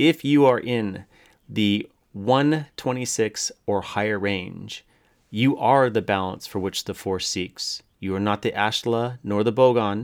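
Recorded very cleanly against a silent background, a man speaks in an ordinary speaking voice at a fairly low pitch. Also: ordinary pitch variation. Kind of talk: casual banter, answering quiz questions as a contestant. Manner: laughing, jokey, quick to interject.

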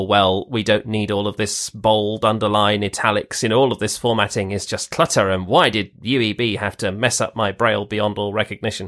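A man with a British accent talks at a fairly quick pace, fairly low in pitch with fairly even intonation. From Britain. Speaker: braille organization volunteer. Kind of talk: interview.

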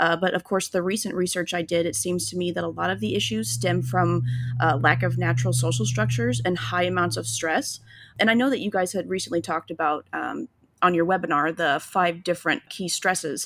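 A woman with an American accent speaks at a fairly quick pace, her fairly low pitch swinging very widely and dropping into vocal fry. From Illinois. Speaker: podcast host. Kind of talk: interview.

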